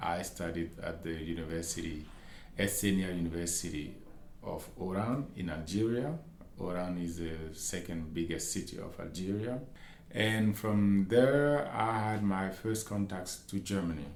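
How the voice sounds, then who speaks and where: With a Malian accent, a man speaks at a fairly slow pace in a very deep, low pitch, his pitch variation ordinary, and room echo is audible. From Mali (Bamako). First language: Bambara. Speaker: academic researcher and lecturer. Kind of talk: interview. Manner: halting.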